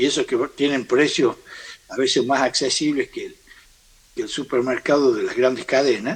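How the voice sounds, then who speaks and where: The man talks at a fairly slow pace. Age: 60s. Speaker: farm sector leader. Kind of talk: interview. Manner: halting.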